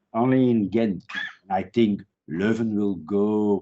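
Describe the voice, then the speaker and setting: A man speaks with a Dutch accent. His pitch sits fairly low. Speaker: criminology professor. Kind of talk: interview. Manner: halting.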